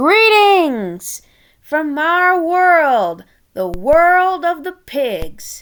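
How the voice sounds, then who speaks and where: A woman's put-on character voice, extremely high in pitch and very slow in pace. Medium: read story. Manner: theatrical, smooth.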